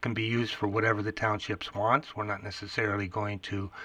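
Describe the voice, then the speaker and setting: A man speaks in an Upper Midwest accent. Noticeable background noise is present. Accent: Upper Midwest (Minnesota). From small-town Minnesota. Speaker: computer repair shop owner. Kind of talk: casual radio chat.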